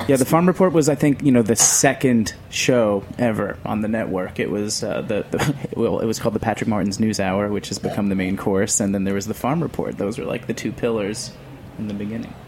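Talking at a fairly quick pace with hardly any pauses, a man with a fairly low pitch and ordinary pitch variation is heard over noticeable background noise. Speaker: radio producer. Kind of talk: casual interview chat. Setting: live from restaurant.

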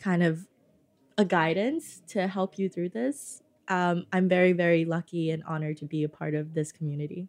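A woman talks at a moderate pace with a fairly low pitch. She has a plain, everyday voice, captured in a very clean recording with a silent background. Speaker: restaurant founder. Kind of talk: interview. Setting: studio.

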